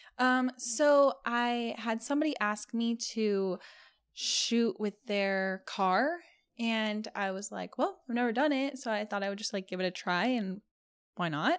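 A woman with an American accent in a normal speaking voice, fairly high in pitch and fairly slow, with lively intonation, on a very clean recording with a silent background. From California. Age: 20s. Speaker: OnlyFans creator and model. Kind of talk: casual chat.

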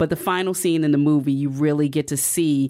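A woman's very deep, low voice, dark and mellow in tone, with fairly even intonation on a very clean recording with a silent background. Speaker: entertainment writer and podcast host. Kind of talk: casual interview chat.

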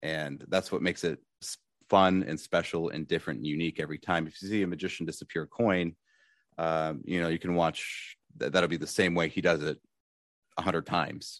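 Against a quiet background, a man with an American accent speaks fairly quickly in a very deep, low voice with fairly even intonation. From Michigan, Detroit suburbs. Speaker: magician. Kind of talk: interview conversation. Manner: halting, many fillers.

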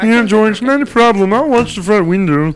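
A man puts on a character voice with a high pitch. He moves at a fairly quick pace over clear background noise.

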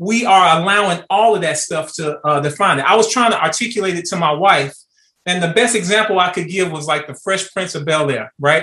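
In an American accent, a man talks at a moderate pace with a bright, sharp tone. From Chicago. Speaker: retired military officer, father. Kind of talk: casual chat.

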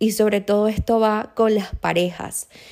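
A woman's dark, mellow tone at a fairly slow pace. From Venezuela. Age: 20s. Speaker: podcast host. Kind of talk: casual monologue.

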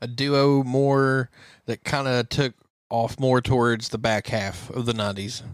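In a normal speaking voice, a man talks at a fairly slow pace with fairly even intonation, the sound dry and close with no echo. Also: medium pitch for a man. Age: 30s. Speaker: country music podcast co-host. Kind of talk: casual chat.

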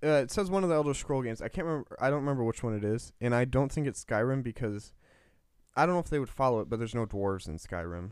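Over a silent background on a very clean recording, a man with an American accent talks at a very fast pace, his medium-pitched voice carrying lively intonation. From US Midwest. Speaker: podcast co-host. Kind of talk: casual chat, podcast discussion.

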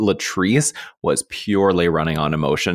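Very deep and low in pitch, a man talks in an animated tone. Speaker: entertainment podcast host. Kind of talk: casual chat.

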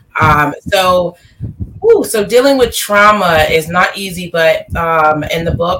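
Speaking at a very slow pace, a woman with a fairly low pitch is heard over noticeable background noise. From Delaware. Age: young. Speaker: life coach and author. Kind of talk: interview. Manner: halting, many fillers.

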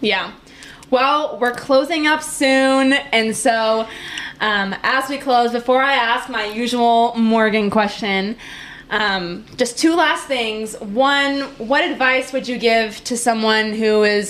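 Over noticeable background noise, a woman with an American accent speaks in a high pitch at a very slow pace. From Wisconsin. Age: 20s. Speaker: podcast host. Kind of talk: casual interview. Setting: apartment. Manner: animated.

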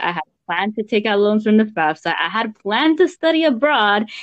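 A woman with an ordinary speaking voice and an American accent talks at a medium pitch and a moderate pace with lively intonation. The sound is dry and close with no echo, over a quiet background. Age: 20s. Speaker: DACA recipient. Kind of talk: casual chat.

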